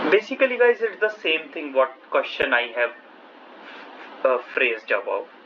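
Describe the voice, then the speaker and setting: At a moderate pace, a high-pitched man speaks with very wide pitch swings and long, frequent pauses over noticeable background noise. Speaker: math lecturer. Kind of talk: lecture.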